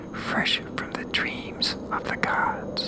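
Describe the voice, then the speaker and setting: Someone whispers at a very slow pace in a calm tone, with noticeable background noise. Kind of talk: whispered ASMR story reading. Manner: whispered, soft-spoken, calm.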